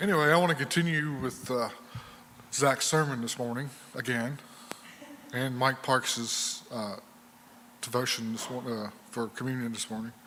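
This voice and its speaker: A man talks at a moderate pace in a medium-pitched voice with ordinary pitch variation. Long, frequent pauses break up his speech over noticeable background noise. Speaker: Bible class teacher. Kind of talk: church class talk. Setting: church room with group, no microphone. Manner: halting with many fillers; loud, straining to be heard. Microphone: no microphone, hard to hear.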